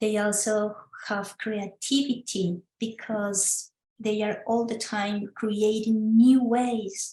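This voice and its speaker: A woman with a Spanish accent speaks very slowly at a fairly high pitch. Her somewhat breathy voice holds a monotone, flat intonation. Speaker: legal scholar presenter. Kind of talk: online talk presentation. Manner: halting.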